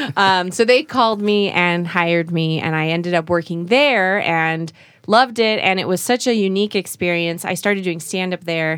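An ordinary speaking voice with an American accent moves at a moderate pace with hardly any pauses and ordinary pitch variation. The recording is very clean with a silent background. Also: woman, fairly low pitch for a woman. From Utah. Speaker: TV presenter. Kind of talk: casual chat.

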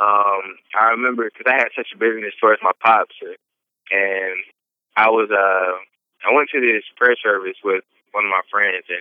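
Speaking in an Atlanta accent, a man keeps a moderate pace, a fairly low pitch and fairly even intonation. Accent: Southern US (Atlanta). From Atlanta, Georgia. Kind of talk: interview testimony.

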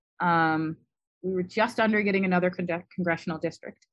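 A woman's medium-pitched voice with an East Coast American accent and ordinary pitch variation, in a very clean recording with a silent background. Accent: generic American East Coast. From US Midwest. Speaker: immunology professor. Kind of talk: interview.

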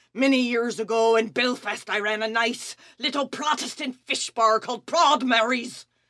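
A female-sounding, put-on character voice, fairly high in pitch, at a moderate pace with hardly any pauses. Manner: feisty, scornful.

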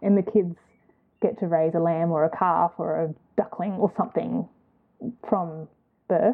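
In an Australian accent, a woman speaks at a moderate pace with a fairly low pitch, ordinary pitch variation, and long, frequent pauses. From Queensland, Australia (Gold Coast), born in New Zealand. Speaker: knitter, spinner and small fibre business owner. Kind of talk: casual chat interview.

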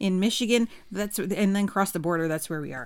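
A woman of medium pitch talks at a very fast pace. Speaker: podcast co-host. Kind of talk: casual chat.

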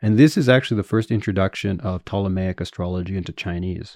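Against a quiet background, a man with a Canadian accent uses an ordinary speaking voice, talking at a fairly quick pace with a fairly low pitch and fairly even intonation. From Canada, Winnipeg. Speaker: academic historian. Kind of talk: interview. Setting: in-person interview.

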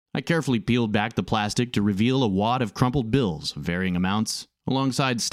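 Someone does a plain reading aloud with ordinary pitch variation against a quiet background.

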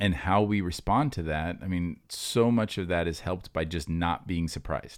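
On a very clean recording with a silent background, a man with a very deep, low voice and ordinary pitch variation speaks with hardly any pauses. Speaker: pastor and podcast host. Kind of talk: casual chat. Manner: fast.

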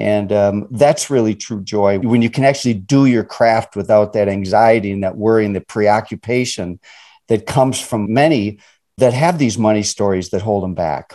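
A man with an American accent speaks at a moderate pace in a dark, mellow tone, his pitch varying in an ordinary way, against a quiet background. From suburban Chicago. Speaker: financial educator. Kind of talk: interview.

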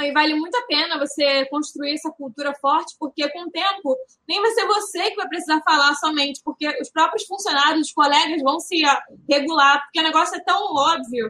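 A woman speaks at a moderate pace with a raised, projected voice. Her pitch is high and her tone bright and sharp. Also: ordinary pitch variation. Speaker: retail consultant. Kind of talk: casual chat.

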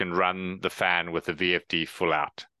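A man with a South African accent speaks at a fairly slow pace with a very deep, low pitch and a bright, sharp tone. The sound is dry and close with no echo, over a quiet background. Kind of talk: casual professional discussion.

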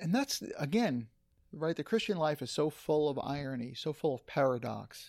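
A man speaks at a moderate pace in a plain, everyday voice, fairly high in pitch with lively intonation. The recording is very clean, with a silent background. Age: 50s. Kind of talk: casual chat.

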